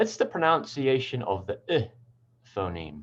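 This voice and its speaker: Against a quiet background, a man with an American accent speaks at a very slow pace and medium pitch, his voice making very wide pitch swings. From New Zealand. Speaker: English pronunciation teacher. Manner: hesitant, frequent fillers.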